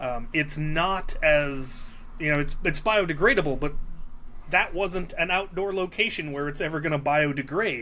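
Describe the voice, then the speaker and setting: Speaking at a moderate pace in a Midwestern accent, a man with a fairly high voice uses ordinary pitch variation amid audible room echo. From Minnesota. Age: 40s. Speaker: Nerf hobbyist. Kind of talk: casual chat. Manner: hesitant with fillers.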